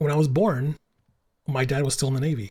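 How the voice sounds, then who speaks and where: A man speaks at a moderate pace. His voice is somewhat breathy with a dark, mellow tone. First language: Italian and Spanish. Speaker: podcast host. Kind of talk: casual chat. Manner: animated, halting with many fillers.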